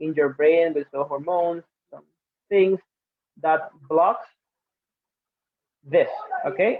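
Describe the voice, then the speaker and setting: A man speaks in a Spanish accent. His pitch is high. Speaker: English teacher. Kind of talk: webinar presentation. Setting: webinar streamed live online.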